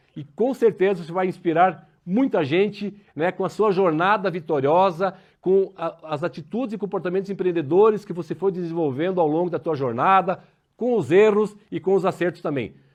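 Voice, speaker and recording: Against a quiet background, a man speaks with a high pitch, ordinary pitch variation, and a moderate pace. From southern Brazil, Paraná. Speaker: interview show host. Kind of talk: interview.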